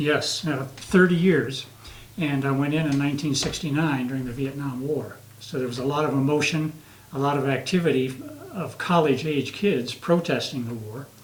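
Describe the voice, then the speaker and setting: Noticeable background noise and audible room echo surround a man's voice. His pitch is fairly high, and his intonation is fairly even. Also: moderate pace. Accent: American. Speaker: retired Air Force veteran, singer. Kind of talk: interview. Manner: halting.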